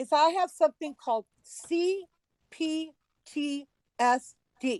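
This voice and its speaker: A woman's dark, mellow voice carries lively intonation in a dry, close sound with no echo. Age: 60s. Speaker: livestream broadcaster. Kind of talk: heated rant on livestream.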